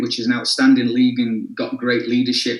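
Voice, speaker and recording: The speaker has an English accent and keeps a fairly quick pace. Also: man. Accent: English accent, some. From northern England, Sheffield. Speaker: soccer coach and club executive. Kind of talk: interview. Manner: repetitive, halting with fillers.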